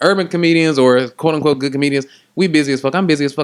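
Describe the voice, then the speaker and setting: With an American accent, a man talks very fast in a fairly high voice. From East Texas. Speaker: comedian, podcast co-host. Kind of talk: casual chat. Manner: animated.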